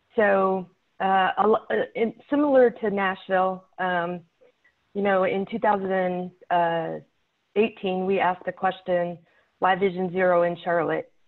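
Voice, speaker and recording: Using long, frequent pauses, a woman talks at a fairly slow pace at a medium pitch with fairly even intonation. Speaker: city traffic safety manager. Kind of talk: presentation. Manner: shaky.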